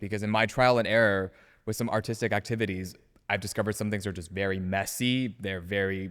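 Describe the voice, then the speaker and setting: On a very clean recording with a silent background, a man uses a plain, everyday voice, speaking at a fairly quick pace with a fairly low pitch and fairly even intonation. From US West Coast. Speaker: acting student. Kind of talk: casual chat.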